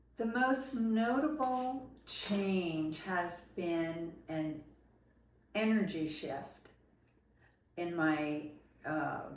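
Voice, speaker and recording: Very slow speech with an American accent, very wide pitch swings, long and frequent pauses, and audible room echo. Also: woman, fairly low pitch for a woman. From New Jersey. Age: 70s. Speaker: patient giving testimonial. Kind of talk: testimony. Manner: hesitant, with frequent fillers.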